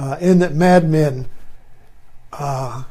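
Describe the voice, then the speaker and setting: In an American accent, the voice carries a dark, mellow tone. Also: man. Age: 80s+. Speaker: retired teacher and video commentator. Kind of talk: casual monologue. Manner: halting, many fillers.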